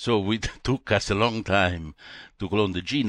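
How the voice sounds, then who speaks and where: A man with an Italian accent speaks with ordinary pitch variation over a quiet background. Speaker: retired molecular biologist. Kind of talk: interview. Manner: halting.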